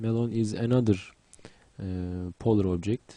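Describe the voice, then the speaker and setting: In a Turkish accent, a man speaks with a fairly low pitch and a dark, mellow tone, the sound dry and close with no echo. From Turkey. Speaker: 3D graphics instructor. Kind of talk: tutorial. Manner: halting, many fillers.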